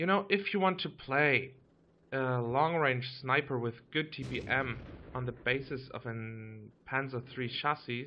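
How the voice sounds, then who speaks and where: A man talks with a German accent. His medium pitch shows ordinary variation. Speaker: gaming YouTuber. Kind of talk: gameplay commentary. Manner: casual, some hesitations.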